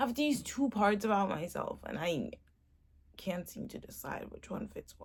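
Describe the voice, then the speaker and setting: Speaking at a moderate pace, a woman with a fairly high pitch, vocal fry, and lively intonation swings widely in loudness. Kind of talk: personal vlog monologue.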